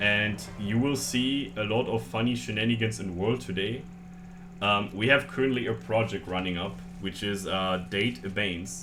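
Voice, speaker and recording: A man with a German accent and a fairly low pitch, his voice swinging very widely, amid audible room echo and background music. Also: moderate pace. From Germany. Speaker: streamer. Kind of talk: casual chat. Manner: halting.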